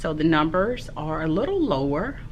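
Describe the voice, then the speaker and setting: A woman's very deep, low-pitched voice amid audible room echo and noticeable background noise. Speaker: primary school teacher and vlogger. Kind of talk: casual vlog talk.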